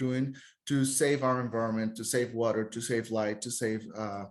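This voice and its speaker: A man speaks with a Costa Rican accent. His intonation is monotone and flat. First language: Spanish. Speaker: tour guide. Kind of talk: podcast interview.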